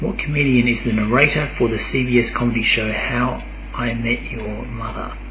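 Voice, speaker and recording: An Australian accent marks a man's speech at a moderate pace, with noticeable background noise. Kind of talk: casual talk to camera.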